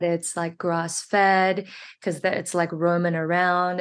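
Her New Zealand accent comes through as the woman speaks at a fairly low pitch with monotone, flat intonation. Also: quiet background. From New Zealand, Auckland. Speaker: actress. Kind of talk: casual interview chat.

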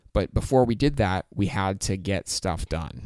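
On a very clean recording with a silent background, a man with an American accent speaks at a fairly slow pace in an ordinary speaking voice with ordinary pitch variation. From Michigan, US. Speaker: podcast co-host. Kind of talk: casual chat.

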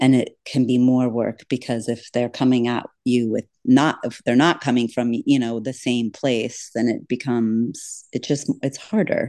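In an American accent, a dark, mellow tone delivers monotone, flat intonation at a fairly slow pace with hardly any pauses. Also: woman, very deep, low pitch for a woman, quiet background. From Florida Keys. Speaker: podcaster and treasure hunter guest. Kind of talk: casual interview chat.

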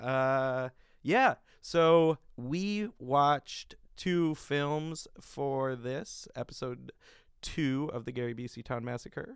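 A man with a fairly high pitch and ordinary pitch variation speaks at a very slow pace on a very clean recording with a silent background. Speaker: podcast host. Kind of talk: casual chat. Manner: joking.

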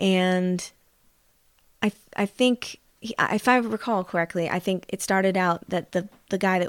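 Her American accent carries fairly even intonation as a woman speaks at a medium pitch and moderate pace. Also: dry, close sound with no echo. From central Indiana, US Midwest. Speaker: singer. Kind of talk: casual chat.

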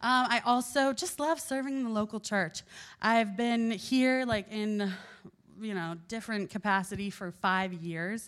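Speaking at a fairly slow pace, a woman with a fairly high pitch sounds animated, her pitch varying in an ordinary way on a very clean recording with a silent background. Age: 20s. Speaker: youth group speaker and nanny. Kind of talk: casual chat; sermon.

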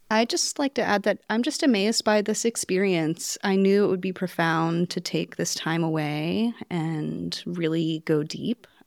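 A woman speaks at a fairly slow pace with hardly any pauses, in an ordinary speaking voice. Her pitch is fairly low with ordinary variation, and the sound is dry and close with no echo. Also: very clean recording, silent background. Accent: American. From North Carolina. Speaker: potter and textile mentee. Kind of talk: group conversation. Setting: quilting studio.

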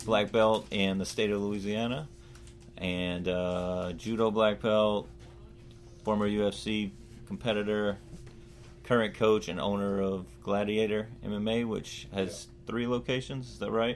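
Music plays behind a man with a fairly low pitch. He speaks at a fairly slow pace with fairly even intonation. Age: 30s. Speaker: podcast host. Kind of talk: casual interview. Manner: halting, many fillers.

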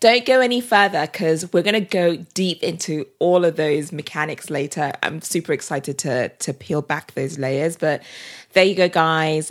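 A British-accented woman speaks at a moderate pace with lively intonation and fairly low pitch. The recording is very clean with a silent background. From Britain. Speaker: podcast host. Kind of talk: interview.

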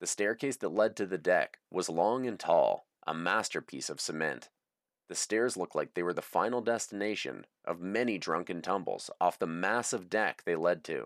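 Here is a normal speaking voice from a man, fairly low in pitch with ordinary pitch variation, at a moderate pace. The recording is very clean and dry, with a silent background and a close sound with no echo. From Canada, moved to the US as a youth. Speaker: author reading his own audiobook. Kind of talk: reading aloud from his memoir.

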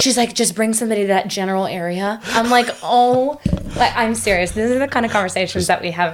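Very fast speech from a woman, fairly high in pitch, over noticeable background noise. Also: ordinary pitch variation. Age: 20s. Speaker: podcast guest. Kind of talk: casual chat. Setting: studio.

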